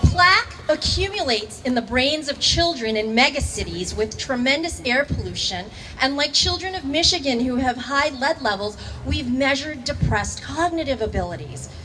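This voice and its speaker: Over noticeable background noise, a woman speaks in a raised, projected voice at a high pitch, with lively intonation and a moderate pace. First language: not English. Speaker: high school teacher. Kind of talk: rally speech.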